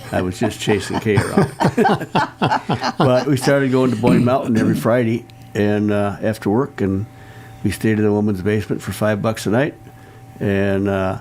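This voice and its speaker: At a moderate pace, a man with a fairly low pitch and fairly even intonation speaks with long, frequent pauses against noticeable background noise. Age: 80s+. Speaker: retired business owner. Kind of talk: radio interview.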